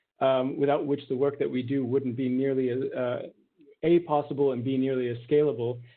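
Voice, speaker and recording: A man speaks fairly quickly in a medium pitch, his intonation monotone and flat. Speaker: startup founder presenting at webinar. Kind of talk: webinar presentation. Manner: fast.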